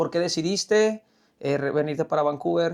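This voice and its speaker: A man with a Mexican accent against a quiet background. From Mexico. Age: 30s. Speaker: podcast host. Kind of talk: casual chat.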